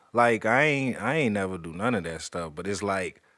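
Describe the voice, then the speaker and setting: The speaker's pitch swings very widely at a moderate pace. The recording is very clean, with a silent background. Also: man. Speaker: podcast host. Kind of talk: casual interview chat.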